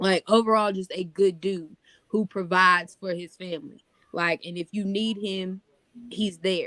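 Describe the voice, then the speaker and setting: The sound is dry and close, with no echo. A woman of medium pitch speaks at a fairly slow pace in a monotone, flat intonation. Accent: American. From North Carolina, US South. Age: 30s. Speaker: podcast co-host. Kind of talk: casual chat.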